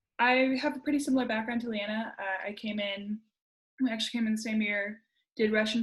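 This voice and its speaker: A woman speaks at a medium pitch with fairly even intonation. She has a normal speaking voice. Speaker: program alumna presenting. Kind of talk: presentation.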